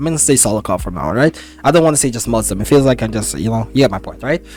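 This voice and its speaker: A man is speaking. Music plays in the background. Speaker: MMA commentator youtuber. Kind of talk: casual fight breakdown. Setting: home at keyboard watching fights. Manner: fast; casual, filler-heavy.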